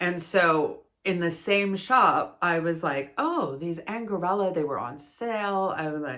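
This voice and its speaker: In a Canadian accent, a woman with a fairly low pitch and ordinary pitch variation speaks at a very slow pace on a very clean recording with a silent background. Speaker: yarn crafting video creator. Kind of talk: casual product review monologue. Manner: chatty, with frequent fillers.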